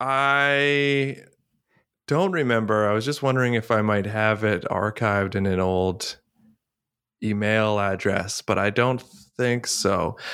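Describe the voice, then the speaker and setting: A man's fairly low voice with a Canadian accent, bright and sharp in tone, at a very slow pace with ordinary pitch variation and very even loudness, on a very clean recording with a silent background. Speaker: comedian. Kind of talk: casual chat.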